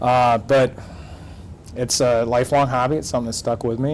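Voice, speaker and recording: With a Michigan accent, a man speaks at a medium pitch with fairly even intonation. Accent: Midwestern US (Michigan). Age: 40s. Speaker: math and astronomy teacher. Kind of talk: interview. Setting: studio. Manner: hesitant, many fillers.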